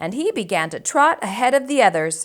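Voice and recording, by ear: A woman's high-pitched voice with big pitch swings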